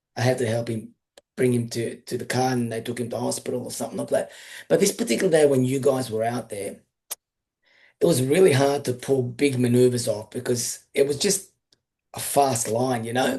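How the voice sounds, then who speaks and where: Speaking with an Australian accent, a man moves at a fairly quick pace in a dark, mellow, somewhat breathy tone. His pitch is medium with ordinary variation. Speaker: surf coach and live show host. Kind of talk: casual interview chat.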